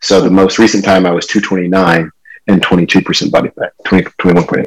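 Very deep, low pitch from a man, in an American accent. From California. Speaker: tech company employee, engineer. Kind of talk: interview.

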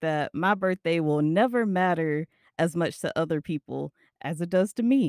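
Recorded dry and close with no echo, a woman with an unremarkable speaking voice talks at a moderate pace in a fairly low pitch with lively intonation. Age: 20s. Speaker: podcast host. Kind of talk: casual monologue.

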